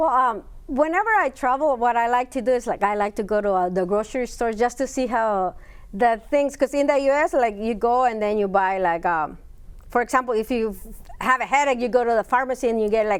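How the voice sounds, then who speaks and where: Speaking fairly quickly in a Spanish accent, a woman uses a high pitch with ordinary pitch variation. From Spanish-speaking country, moved to US at eleven. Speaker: university Spanish professor. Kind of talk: interview. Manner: halting, many fillers.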